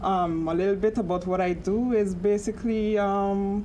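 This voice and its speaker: Against audible room echo, a woman with a St Martin accent speaks at a medium pitch, her intonation fairly even and her tone dark and mellow. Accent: St. Martin Caribbean English. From Caribbean, St. Martin. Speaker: panelist, bank supervision officer. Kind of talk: panel discussion. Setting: studio with live audience. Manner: hesitant, many fillers.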